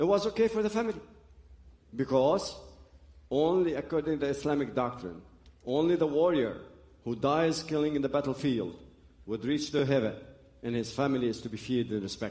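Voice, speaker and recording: Using a dark, mellow tone at a fairly high pitch, a man speaks at a fairly quick pace with lively intonation and long, frequent pauses. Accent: Arabic. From Lebanon (Beirut). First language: Arabic. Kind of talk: testimony. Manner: halting.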